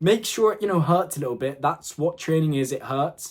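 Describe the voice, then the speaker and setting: A man speaks in an animated tone at a fairly high pitch. The recording is very clean, with a silent background. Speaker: fitness content creator. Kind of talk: motivational talk to camera. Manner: fast.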